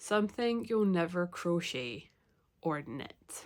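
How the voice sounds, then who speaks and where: Her pitch fairly low, a woman speaks at a very slow pace. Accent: Scottish. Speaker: knitting and crochet podcaster. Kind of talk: casual talk to camera.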